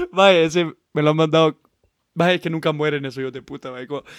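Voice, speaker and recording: A man's fairly high voice rushes along at a very fast pace. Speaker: podcast co-host. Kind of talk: casual chat. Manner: animated.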